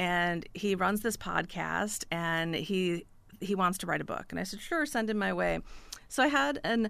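Recorded very cleanly against a silent background, a woman with an American accent speaks at a medium pitch and moderate pace, with vocal fry and ordinary pitch variation. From US Midwest, northern Illinois. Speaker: author. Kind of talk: radio interview. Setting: radio studio.

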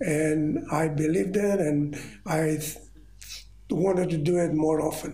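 A man speaks at a fairly slow pace with a Greek accent and fairly even intonation. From Rhodes, Greece. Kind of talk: elder telling life story in interview. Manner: slow, halting, reminiscing.

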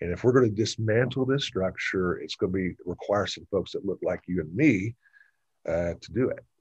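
Somewhat breathy speech at a moderate pace, with ordinary pitch variation and big swings in loudness, has a dry, close sound with no echo over a quiet background. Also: man, fairly low pitch for a man. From Georgia, Gwinnett County. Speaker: state legislator. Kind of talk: interview.

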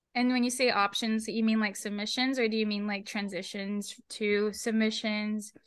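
A woman with a fairly high pitch speaks at a moderate pace in a monotone, flat intonation. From Guam. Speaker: podcast host. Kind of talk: casual interview.

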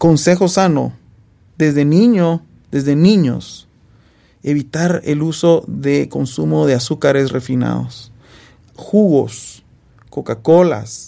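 A man with a dark, mellow tone talks at a very slow pace. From Guatemala. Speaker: surgeon. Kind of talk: casual interview.

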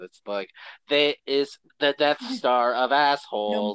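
A man puts on a character voice, pitched fairly high, and talks at a fairly slow pace. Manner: exaggerated, comedic.

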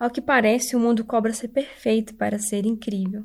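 A woman speaks in a flat monotone with a dark, mellow, somewhat breathy tone on a very clean recording with a silent background. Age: 20s. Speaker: church member giving devotional. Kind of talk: devotional talk.

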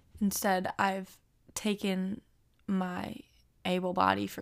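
At a very slow pace, a woman of medium pitch speaks in a very clean recording with a silent background. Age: 20s. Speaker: podcast host. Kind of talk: solo personal monologue.

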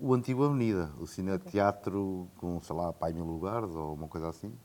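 A man speaks in a normal speaking voice at a fairly quick pace, with ordinary pitch variation. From Portugal, Coimbra. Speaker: film director and producer. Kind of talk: casual interview. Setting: in person, Coimbra.

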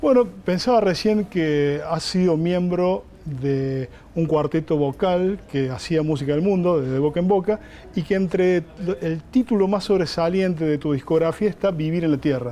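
A man with a high voice talks fairly slowly, his pitch varying in an ordinary way, while noticeable background noise continues. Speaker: journalist interviewer. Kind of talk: interview.

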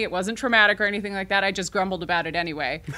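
A woman with a bright, sharp tone and lively intonation is heard in a very clean recording with a silent background. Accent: American. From southern Illinois. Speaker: theater director. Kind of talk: casual interview chat. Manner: filler-heavy, hesitant.

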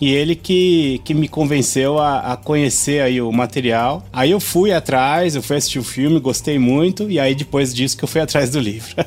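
Over music in the background, the speaker keeps a moderate pace with hardly any pauses and ordinary pitch variation. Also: man, fairly high pitch for a man. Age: 40s. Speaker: podcast co-host. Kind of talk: casual chat.

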